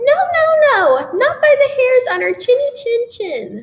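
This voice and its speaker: A woman does a squeaky, put-on character voice at an extremely high pitch and a fairly slow pace. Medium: read story.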